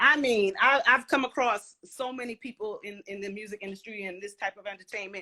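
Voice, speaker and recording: A woman's fairly high voice with a bright, sharp tone and an American accent, ordinary pitch variation and big swings in loudness. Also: fairly quick pace, hardly any pauses, dry, close sound with no echo. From Brooklyn, New York (Flatbush). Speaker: former professional dancer. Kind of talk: casual interview. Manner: animated.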